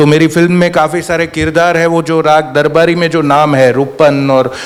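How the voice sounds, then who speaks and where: Over noticeable background noise, a man with a Gujarati accent speaks in a fairly high, monotone and flat voice. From Gujarat, Bhavnagar. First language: Gujarati (speaking Hindi). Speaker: screenwriter. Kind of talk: panel discussion.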